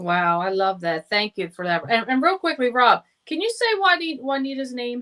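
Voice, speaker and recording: A woman with a New Jersey accent speaks at a moderate pace in a high pitch, her tone bright and sharp. Her pitch swings very widely, and the sound is dry and close with no echo. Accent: typical New Jersey. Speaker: show co-host. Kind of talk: casual chat.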